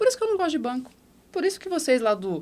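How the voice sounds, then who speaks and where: At a very fast pace, a woman speaks in an animated tone with very wide pitch swings. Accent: strong São Paulo interior. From interior of São Paulo state, Brazil. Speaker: former bank manager, entrepreneur. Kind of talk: podcast interview, personal storytelling.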